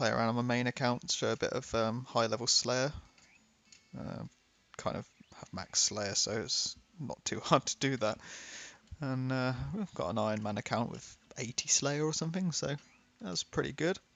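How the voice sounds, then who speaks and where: A British accent at a moderate pace, with ordinary pitch variation and long, frequent pauses. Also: man, medium pitch for a man. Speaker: gaming YouTuber. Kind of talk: casual gameplay commentary.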